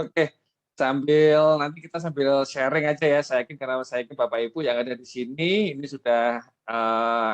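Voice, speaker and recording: A man's medium-pitched, fairly quick voice with a strong Javanese accent, dry and close with no echo. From East Java, Indonesia. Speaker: webinar speaker on marketing. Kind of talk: webinar presentation. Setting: online webinar.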